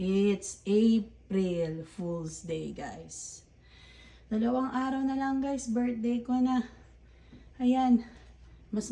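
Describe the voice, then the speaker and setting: Somewhat breathy and dark, mellow in tone, a woman talks at a very slow pace with a fairly high pitch and ordinary pitch variation. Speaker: vlogger. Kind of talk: casual vlog. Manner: self-described tongue-tied.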